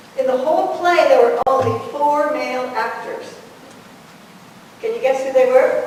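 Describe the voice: A woman's high-pitched, slightly mellow voice with ordinary pitch variation and strong room echo. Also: moderate pace.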